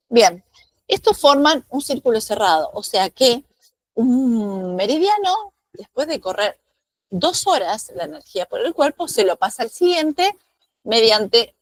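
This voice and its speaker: This woman has a high pitch and very wide pitch swings, talking at a fairly slow pace in a dry, close sound with no echo. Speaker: acupuncture teacher. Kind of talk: lecture.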